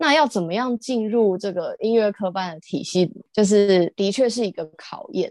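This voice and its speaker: A woman with a normal speaking voice and medium pitch talks at a moderate pace with hardly any pauses, ordinary pitch variation and big swings in loudness, in a dry, close sound with no echo. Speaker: visually impaired harpist and singer. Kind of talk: casual interview chat.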